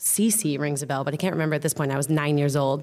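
A woman speaks with an American accent. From US. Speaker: comedian. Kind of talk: casual chat. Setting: theater stage with audience. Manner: animated.

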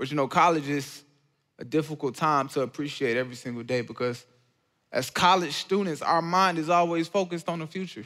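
Fairly quick and animated, a man's bright, sharp voice sits at a fairly high pitch with ordinary pitch variation, recorded very cleanly with a silent background. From Georgia, US. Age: 20s. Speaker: college student and speaker sharing testimony. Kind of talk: testimony talk.

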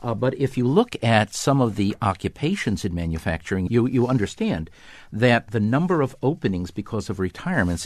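Against a quiet background, a man with an unremarkable speaking voice and medium pitch talks at a fairly quick pace with lively intonation. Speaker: economist. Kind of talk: interview.

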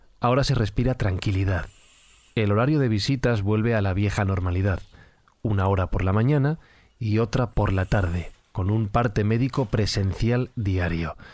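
A plain, everyday voice: a man at fairly low pitch, moderate pace, very even loudness, ordinary pitch variation. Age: 30s. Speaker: podcast narrator. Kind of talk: scripted narration.

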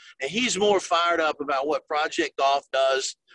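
With a Southern US accent, a man talks in a fairly high pitch and a bright, sharp tone, his intonation fairly even and the sound dry and close with no echo. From South Carolina. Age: 50s. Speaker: golf tourism ambassador. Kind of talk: interview.

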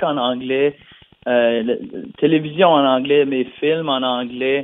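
This man has a fairly high pitch. His pace is very slow. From New Brunswick, Canada (Acadian). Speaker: singer-songwriter. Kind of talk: interview. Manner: halting, many fillers and repetitions.

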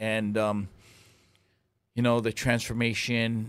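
Here a man with a Hawaiian accent talks at a moderate pace in a medium pitch. His intonation is monotone and flat, and the recording is very clean with a silent background. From Hawaii (Lahaina, Maui). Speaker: waterman and cultural advisor. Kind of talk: interview. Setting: studio.

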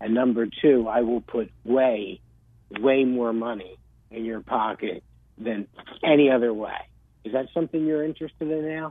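With a New Jersey accent, a man speaks in a medium pitch at a moderate pace, with ordinary pitch variation. He leaves long, frequent pauses. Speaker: real estate agent. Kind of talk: casual chat.

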